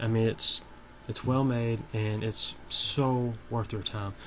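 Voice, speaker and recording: This man's voice sits at a medium pitch. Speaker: horror movie YouTuber. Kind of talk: casual video commentary. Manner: halting, with many fillers and restarts.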